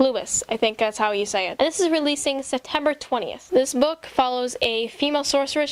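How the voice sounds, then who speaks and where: Fairly quick speech from a woman, high in pitch. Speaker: book vlogger. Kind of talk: casual vlog. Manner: fast; animated.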